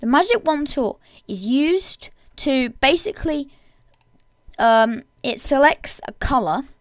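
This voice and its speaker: At a fairly slow pace with long, frequent pauses, a woman speaks in a high voice that swings very widely in pitch. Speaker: software tutorial maker. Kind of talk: tutorial. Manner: halting, many fillers and restarts.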